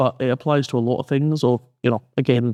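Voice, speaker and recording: A man with a Scottish accent talks at a fairly quick pace in a dark, mellow, flat monotone, recorded dry and close with no echo against a quiet background. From Scotland. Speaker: university lecturer. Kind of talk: podcast conversation.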